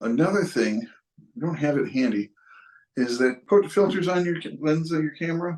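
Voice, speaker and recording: In a Western New York accent, a man talks with lively intonation and a fairly high pitch. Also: moderate pace. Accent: Western New York (US Inland North). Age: 60s. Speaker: photographer. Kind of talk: casual tutorial and personal story. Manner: halting, many fillers and restarts.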